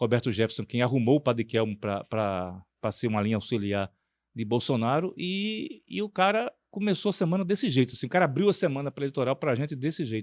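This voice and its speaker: On a very clean recording with a silent background and a dry, close sound with no echo, a man of medium pitch talks fairly quickly with very wide pitch swings. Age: 50s. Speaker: podcast host and news editor. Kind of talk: political talk show discussion.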